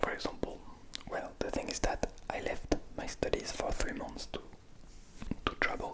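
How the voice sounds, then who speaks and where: A man whispers at a moderate pace, leaving long, frequent pauses, over noticeable background noise. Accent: strong French. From France. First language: French. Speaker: ASMR creator, music student. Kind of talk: ASMR storytelling. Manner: soft-spoken; halting.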